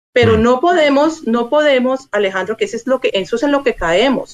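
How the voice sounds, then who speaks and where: This is a woman speaking. Her pitch is high. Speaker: Colombian consular official. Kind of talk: interview. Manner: formal.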